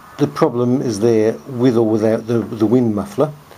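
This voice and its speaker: A man at a medium pitch, fairly slow pace and ordinary pitch variation, with noticeable background noise. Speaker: hobbyist video maker. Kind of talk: tutorial. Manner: soft-spoken. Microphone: camera's built-in mic, poor audio pickup.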